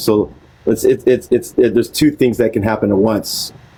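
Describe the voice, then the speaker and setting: A man is speaking. His pace is fairly quick. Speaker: reading group leader. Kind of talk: group discussion. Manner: monotone.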